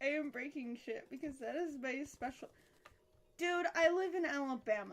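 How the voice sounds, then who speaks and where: A woman speaks in a high voice. Her tone is bright and sharp. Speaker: gaming streamer. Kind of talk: live gameplay stream chat. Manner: casual, rambling with fillers.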